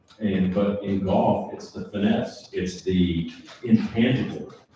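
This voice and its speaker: Over noticeable background noise, a man with an American accent talks at a fairly low pitch with fairly even intonation. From Southern California. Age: 70s. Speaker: former tour golfer. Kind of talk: panel talk at a seminar.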